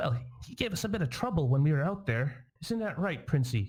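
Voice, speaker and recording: A man puts on a squeaky character voice at a fairly high pitch, talking at a moderate pace. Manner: sassy, teasing.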